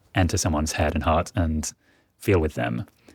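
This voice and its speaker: A very deep, low-pitched, somewhat breathy male voice with a southern English accent at a fairly quick pace, dry and close with no echo, on a very clean recording with a silent background. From England, near Oxford. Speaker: magazine fact checker. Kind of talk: interview.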